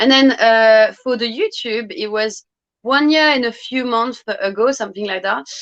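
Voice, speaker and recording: A woman speaks in a French accent at a fairly high pitch. She keeps a moderate pace and ordinary pitch variation. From France, Brittany. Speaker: fragrance youtuber. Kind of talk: interview.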